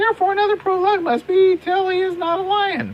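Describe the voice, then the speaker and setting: Extremely high and squeaky, this put-on character voice races along at a very fast pace. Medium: stage play. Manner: fretful.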